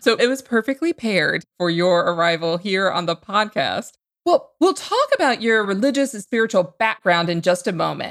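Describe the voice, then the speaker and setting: At a moderate pace with hardly any pauses, a woman with a plain, everyday voice talks at a medium pitch with lively intonation. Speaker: podcast host. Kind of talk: podcast hosting and interview.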